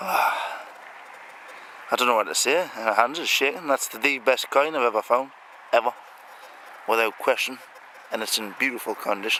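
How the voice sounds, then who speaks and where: A man mumbling at a moderate pace in a medium pitch, with ordinary pitch variation and long, frequent pauses, amid noticeable background noise. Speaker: metal detectorist. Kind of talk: outdoor hobby commentary. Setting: outdoors on a farm.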